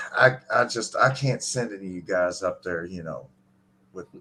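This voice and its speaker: A man talks at a fairly quick pace with ordinary pitch variation and a bright, sharp tone. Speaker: live stream host. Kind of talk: casual chat. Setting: live stream.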